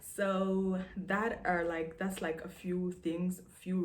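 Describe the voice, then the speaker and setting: Audible room echo surrounds a woman speaking in a South Sudanese accent. Her fairly low voice stays monotone and flat. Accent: South Sudanese accent from mother tongue. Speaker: vlogger. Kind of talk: casual monologue to camera.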